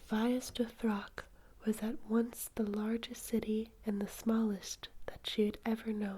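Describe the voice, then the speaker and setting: At a very slow pace, a soft-spoken voice delivers the words. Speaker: ASMR reader. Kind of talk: sleep story reading.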